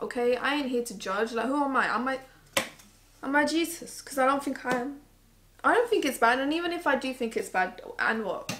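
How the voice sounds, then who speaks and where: Speaking with a British accent, a woman uses a high pitch and lively intonation at a fairly quick pace, with long, frequent pauses over light background noise. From England. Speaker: beauty YouTuber. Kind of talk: casual chat. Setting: living room at home. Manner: frequent filler words. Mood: opinionated, slightly sassy. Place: home room. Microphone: camera far.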